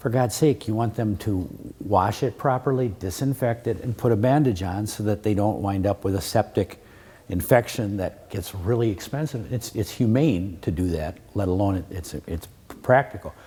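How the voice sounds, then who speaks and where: Somewhat breathy and dark, mellow in tone, a man with an American accent speaks at a moderate pace and a fairly low pitch. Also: ordinary pitch variation. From Wisconsin. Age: 60s. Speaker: attorney. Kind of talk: lecture. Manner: repetitive stammering restarts.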